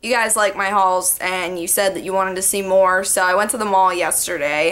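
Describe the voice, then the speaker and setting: Speaking at a fairly quick pace, a woman keeps a fairly even intonation. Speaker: vlogger. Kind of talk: casual vlog chat. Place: home room. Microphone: webcam.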